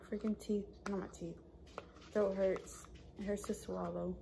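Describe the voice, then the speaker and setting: A woman at a moderate pace, over noticeable background noise. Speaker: vlogger. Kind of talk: casual vlog chat. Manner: slow, careful speech with a sore mouth.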